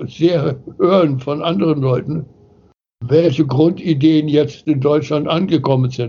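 Very slow, somewhat breathy speech from a man with fairly high pitch and ordinary pitch variation. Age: 80s+. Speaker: philosopher and founder of the New Work movement. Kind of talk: interview.

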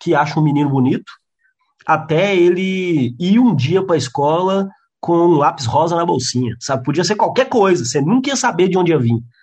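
A high-pitched man with lively intonation. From interior of Minas Gerais, Brazil. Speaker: stand-up comedian and comedy writer. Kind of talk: casual chat.

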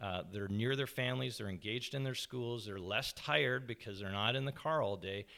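A man with a Canadian accent and a plain, everyday voice talks fairly quickly with hardly any pauses, his medium pitch showing ordinary pitch variation. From Canada, Toronto area. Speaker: mayoral candidate. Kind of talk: interview. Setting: at home.

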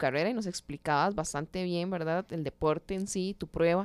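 In a Costa Rican accent, a woman of medium pitch speaks at a moderate pace in a dry, close sound with no echo, on a very clean recording with a silent background. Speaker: podcast host, sports journalist. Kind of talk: interview.

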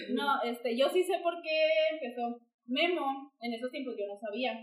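A woman talks with a high-pitched voice and lively intonation. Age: 20s. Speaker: podcast co-host sharing personal story. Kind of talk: casual chat.

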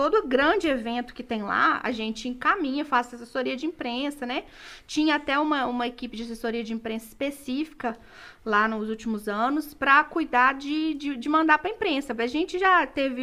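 A woman with a high pitch speaks in a raised, projected voice. Her tone is bright and sharp, with ordinary pitch variation. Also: moderate pace, very clean recording, silent background. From Minas Gerais, Brazil. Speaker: journalist and museum communications coordinator. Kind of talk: casual interview. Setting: podcast studio, live.

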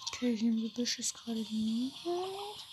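A high-pitched woman at a fairly slow pace, lively intonation, and noticeable background noise. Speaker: gaming podcaster. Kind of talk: live gameplay commentary. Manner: animated.

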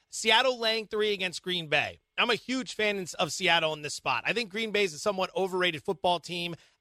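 A man with an American accent speaks at a fairly quick pace in a high pitch. His raised, projected voice has a bright, sharp tone. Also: ordinary pitch variation, hardly any pauses, dry, close sound with no echo. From Pennsylvania (Allentown). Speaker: sports betting podcast host.

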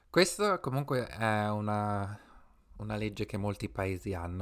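A man with an unremarkable speaking voice, fairly low in pitch and fairly slow in pace, in a very clean recording with a silent background. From Italy. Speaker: podcast co-host. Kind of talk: casual chat.

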